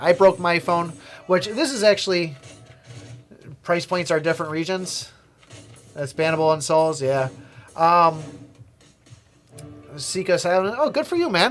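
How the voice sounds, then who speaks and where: Over music in the background, a man with an American accent and a high pitch talks at a moderate pace, with ordinary pitch variation and long, frequent pauses. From USA. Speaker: gaming streamer. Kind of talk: casual livestream chat. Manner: rambling, hesitant with fillers.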